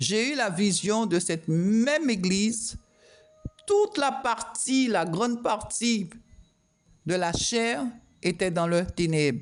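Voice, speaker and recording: A woman speaks very slowly at a medium pitch. Her pitch swings very widely. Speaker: prophetess preacher. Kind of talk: prophetic sermon. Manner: speaking loudly with effort.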